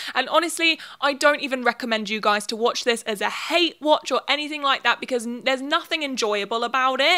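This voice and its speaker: A woman's raised, projected, high-pitched voice in a British accent, bright and sharp in tone, at a fairly quick pace with hardly any pauses over a quiet background. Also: ordinary pitch variation. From UK. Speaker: YouTuber. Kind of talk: video commentary essay. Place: home room. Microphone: handheld.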